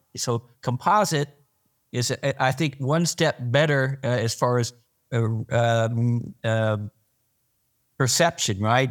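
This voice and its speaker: On a very clean recording with a silent background, a man with an American accent uses an unremarkable speaking voice at medium pitch and fairly even intonation. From Arkansas, US. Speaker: podcast co-host, plastics industry veteran. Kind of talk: casual interview.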